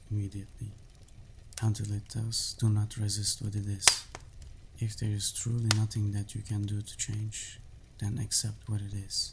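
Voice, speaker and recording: Soft-spoken and somewhat breathy, a man talks at a moderate pace and a fairly low pitch with monotone, flat intonation. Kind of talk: book summary narration.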